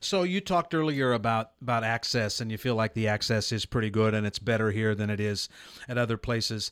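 On a very clean recording with a silent background and a dry, close sound with no echo, a man with an American accent and medium pitch has an ordinary speaking voice, talking at a fairly quick pace with ordinary pitch variation. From Nebraska. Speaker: radio host. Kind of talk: interview. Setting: studio.

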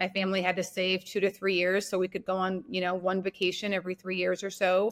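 A woman with an American accent, medium-pitched and monotone, flat in intonation, at a very fast pace. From US Midwest, North Dakota. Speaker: entrepreneur. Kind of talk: casual interview.

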